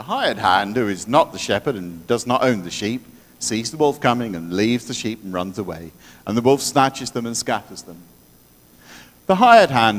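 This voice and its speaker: A man speaks at a fairly quick pace with ordinary pitch variation. His loudness swings widely. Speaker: clergy leading the service; priest leading worship. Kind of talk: church liturgy. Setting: church. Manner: warm; jovial. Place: church.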